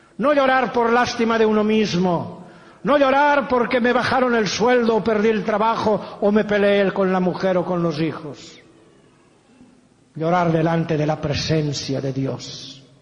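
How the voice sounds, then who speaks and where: A man at high pitch, fairly slow, with lively intonation and noticeable background noise. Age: 70s. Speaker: pastor. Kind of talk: sermon.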